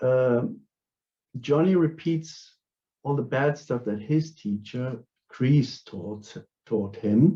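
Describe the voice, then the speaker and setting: A man with a German accent talks at a very slow pace with long, frequent pauses, using a medium pitch, lively intonation and a dark, mellow, somewhat breathy tone. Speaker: philosopher and martial artist. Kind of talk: academic conference talk. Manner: halting, many fillers.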